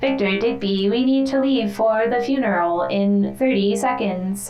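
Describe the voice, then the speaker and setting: A woman puts on a character voice over clear background noise. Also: moderate pace. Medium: actual play. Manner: formal, literal, repetitive.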